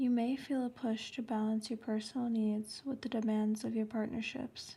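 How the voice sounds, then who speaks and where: Soft-spoken and whispering, the speaker keeps a moderate pace over noticeable background noise. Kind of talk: horoscope reading. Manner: soft-spoken, whispered.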